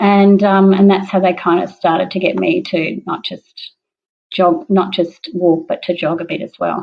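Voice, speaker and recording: With an Australian accent, a woman speaks at a medium pitch with vocal fry. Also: ordinary pitch variation, moderate pace. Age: 60s. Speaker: parkrun participant. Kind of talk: interview testimony.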